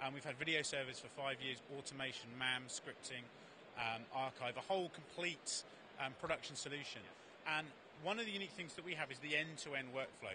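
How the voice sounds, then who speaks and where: With noticeable background noise but a dry sound free of echo, a man speaks fairly quickly using ordinary pitch variation. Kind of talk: interview answer. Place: hall. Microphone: handheld.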